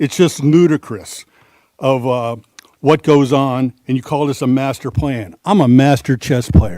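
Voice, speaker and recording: At a moderate pace, a man with a fairly high pitch speaks in a dark, mellow tone, the sound dry and close with no echo. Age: 60s. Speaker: public commenter at county meeting. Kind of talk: public comment at government hearing.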